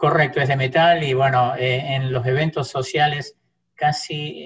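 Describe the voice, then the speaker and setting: A man with an Argentine accent, somewhat breathy, at a fairly slow pace with fairly even intonation. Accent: Argentine Spanish (voseo). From Argentina. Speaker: church interpreter. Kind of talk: casual interview.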